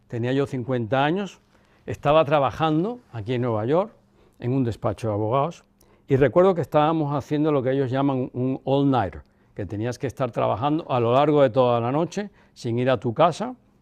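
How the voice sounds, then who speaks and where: Over a quiet background, a man talks at a moderate pace with medium pitch and ordinary pitch variation. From Cuba. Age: 60s. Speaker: son of a former head of state. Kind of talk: interview. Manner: reflective.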